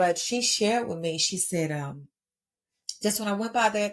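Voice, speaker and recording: Here a woman speaks in an American accent. Her tone is animated. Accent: Texas accent, comes and goes. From Texas. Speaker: podcast host. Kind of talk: motivational podcast monologue.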